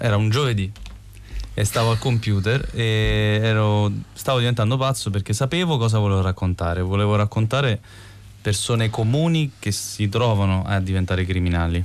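A man with a normal speaking voice and fairly low pitch talks at a moderate pace with ordinary pitch variation. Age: 30s. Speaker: film director. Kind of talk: interview.

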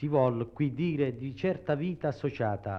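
A man is speaking. His medium pitch shows ordinary variation. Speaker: researcher of the Matera study commission. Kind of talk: explanatory interview statement. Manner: halting, explanatory, with hesitations.

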